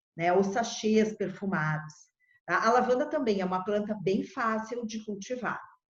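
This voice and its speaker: With audible room echo, a woman speaks at a fairly high pitch and a moderate pace, her pitch varying in an ordinary way. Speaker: agronomist. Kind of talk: presentation.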